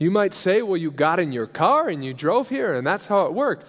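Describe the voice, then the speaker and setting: This man talks at a fairly quick pace in a high voice, his pitch swinging very widely. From US Midwest, Nebraska. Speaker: missionary preacher. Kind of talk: sermon. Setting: church service.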